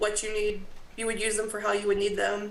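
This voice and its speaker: In an American accent, a woman speaks at a fairly high pitch. Audible room echo surrounds her voice. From US South. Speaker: graduate assistant at a college. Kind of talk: presentation at a town committee meeting.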